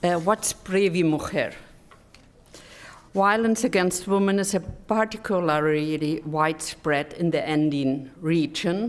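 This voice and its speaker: A woman with a German accent speaks at a fairly slow pace, her fairly low pitch showing ordinary variation and her loudness staying very even. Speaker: development cooperation expert. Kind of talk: conference presentation. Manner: halting.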